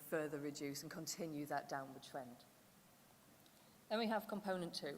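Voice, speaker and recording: A woman speaks in a fairly low pitch. Audible room echo surrounds her voice. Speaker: conference presenter. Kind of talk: conference presentation. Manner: loud.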